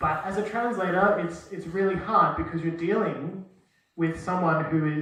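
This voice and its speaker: Amid audible room echo, a man with a high voice keeps a moderate pace and fairly even intonation. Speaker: university lecturer in translation. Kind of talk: lecture. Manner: casual, hesitant with many fillers.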